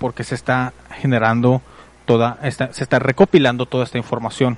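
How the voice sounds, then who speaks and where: Here a man speaks at a medium pitch and a moderate pace with fairly even intonation. The sound is dry and close, with no echo. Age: 30s. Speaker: online radio host. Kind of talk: casual podcast monologue.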